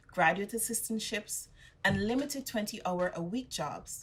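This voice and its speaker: A woman's somewhat breathy, medium-pitched voice at a moderate pace with ordinary pitch variation. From Guyana. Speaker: graduate. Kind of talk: commencement speech.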